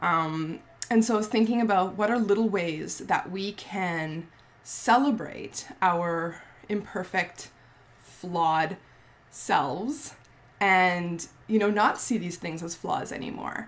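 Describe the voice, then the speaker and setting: Here a woman talks at a very slow pace. Her pitch is medium, with ordinary variation. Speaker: skincare business owner and vlogger. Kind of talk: casual vlog monologue. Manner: halting with many ums.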